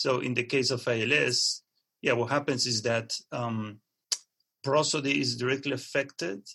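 With a bright, sharp tone and fairly even intonation, a man talks at a fairly slow pace. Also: medium pitch for a man. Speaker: computational neuroscience researcher. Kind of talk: interview, explanatory talk. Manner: halting, with many fillers.

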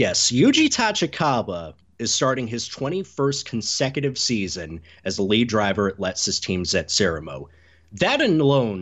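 With an American accent, a man speaks at a moderate pace in a medium pitch, making very wide pitch swings. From US Southeast. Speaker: motorsport journalist. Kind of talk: podcast interview.

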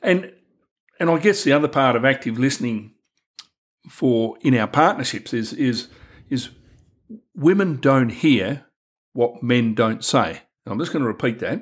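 A man speaks with lively intonation in an Australian accent. He leaves long pauses, and they come often. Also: medium pitch for a man, moderate pace. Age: 60s. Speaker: men's health worker and podcast host. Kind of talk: casual discussion.

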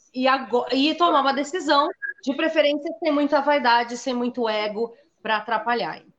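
This woman has a high-pitched voice with ordinary pitch variation. She talks at a moderate pace. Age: 40s. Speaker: horror writer. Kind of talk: interview on a live stream.

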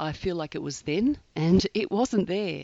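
Here a woman speaks with an Australian accent at medium pitch. Her pace is fairly slow. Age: 50s. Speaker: podcast host, eating disorder survivor. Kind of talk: solo podcast monologue. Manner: hesitant, with filler words.

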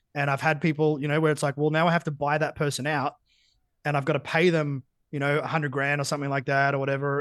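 A man with an Australian accent and a fairly high pitch speaks at a very fast pace in a monotone, flat intonation. The sound is dry and close with no echo, and the background is quiet. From Australia, Geelong (country Victoria). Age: 30s. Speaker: business coach. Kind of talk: casual interview.

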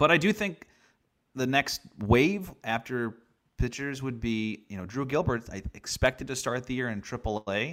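A normal speaking voice with lively intonation moves along at a moderate pace. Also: man, medium pitch for a man. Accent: American. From US Northeast, Long Island, New York. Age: 30s. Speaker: baseball play-by-play broadcaster. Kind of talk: casual interview.

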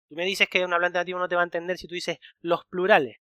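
A man talks at a very fast pace in a high voice with a bright, sharp tone. The sound is dry and close with no echo, in a very clean recording with a silent background. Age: 30s. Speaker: podcast host, Spanish teacher. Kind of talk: casual chat.

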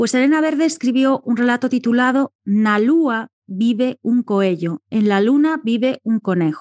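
Loudness stays very even as a woman speaks fairly slowly at a high pitch with lively intonation, in a dry, close sound with no echo. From Galicia, Ordes near A Coruña. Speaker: sociologist and writer. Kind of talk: interview.

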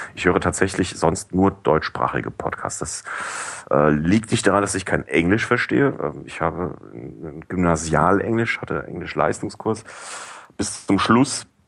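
A man's fairly slow, lively-intoned speech over noticeable background noise. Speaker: podcast review blogger. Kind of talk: casual chat. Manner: hesitant, many fillers. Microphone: cheap headset, high noise.

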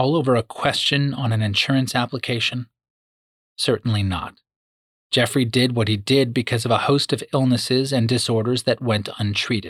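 A man with a plain, everyday voice speaks at a moderate pace and medium pitch, his loudness very even and his intonation fairly even, in a dry, close sound with no echo. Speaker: true crime narrator. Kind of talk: true-crime narration, scripted and serious. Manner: measured, grave, storytelling pace; formal, clear and expository.

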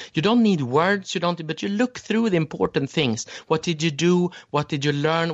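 Using a Swedish accent, a man speaks fairly quickly in a high voice with very wide pitch swings. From Sweden. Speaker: memory champion and educator. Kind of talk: interview. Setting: remote call.

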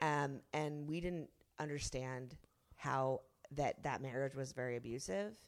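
A woman's very deep, low voice at a fairly slow pace with ordinary pitch variation. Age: 30s. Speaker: author and zine artist. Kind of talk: casual chat. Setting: studio.

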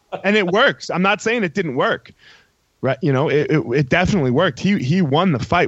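A man talks in a normal speaking voice at a fairly quick pace. His intonation is lively. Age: 30s. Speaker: former MMA fighter. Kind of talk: heated debate.

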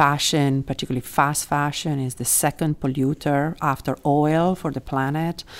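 A woman with an Italian accent, a very deep, low pitch, flat monotone intonation and hardly any pauses. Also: moderate pace. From Italy. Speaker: law professor. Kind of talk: interview. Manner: halting, many fillers.

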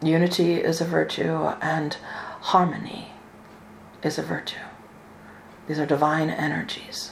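Very deep and low in pitch, a woman speaks in a calm, solemn tone with monotone, flat intonation. Her pace is fairly slow with long, frequent pauses, against noticeable background noise. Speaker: spiritual channeler and minister. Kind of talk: spiritual channeling in a deep meditative trance, delivering an angelic message; live online ceremony and talk. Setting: video call webinar with online audience. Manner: slow, calm, measured and solemn, with a soothing, authoritative cadence.

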